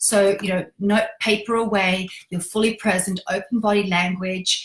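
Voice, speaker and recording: This woman talks at a moderate pace in a somewhat breathy voice with monotone, flat intonation. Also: medium pitch for a woman. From Poland. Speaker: energy healing teacher. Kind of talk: teaching talk on social media live stream. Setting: social media live video. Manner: direct; calm.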